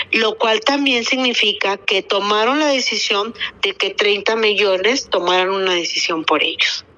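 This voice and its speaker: Pitched at a medium level, the woman talks at a fairly slow pace with lively intonation. Noticeable background noise is present. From Torreón, Coahuila, northern Mexico. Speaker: civic activist leader. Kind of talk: radio interview.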